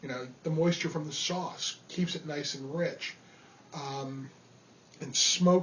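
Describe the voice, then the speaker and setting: In a New York accent, a man speaks at a fairly slow pace. His pitch is fairly high, with ordinary pitch variation. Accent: New York area. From New York (Rockland County). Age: 30s. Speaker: amateur cook. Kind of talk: audition monologue. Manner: casual, with fillers.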